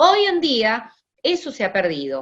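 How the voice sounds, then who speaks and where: Fairly slow speech from a woman with a fairly high pitch. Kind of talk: lecture. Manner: hesitant fillers.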